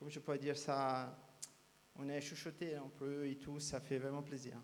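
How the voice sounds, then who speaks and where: With a Brazilian accent, a man speaks at a fairly slow pace in a fairly high pitch, his intonation monotone and flat and his loudness swinging widely. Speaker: speed painter. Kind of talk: interview. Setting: live show at cabaret. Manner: halting.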